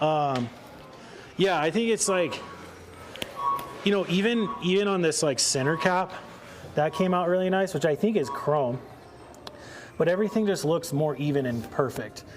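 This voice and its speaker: Heard over noticeable background noise, a man with a Northern Californian accent speaks at a high pitch and a moderate pace, with ordinary pitch variation, very even loudness, and long, frequent pauses. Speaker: car detailing presenter. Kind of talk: live product demonstration. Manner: casual, conversational.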